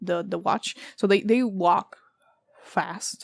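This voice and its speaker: Recorded with a dry, close sound and no echo, a woman speaks at a medium pitch with fairly even intonation. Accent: non-native. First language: not English. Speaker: tarot reader. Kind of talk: tarot reading. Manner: casual, many fillers and self-corrections; halting when searching for words.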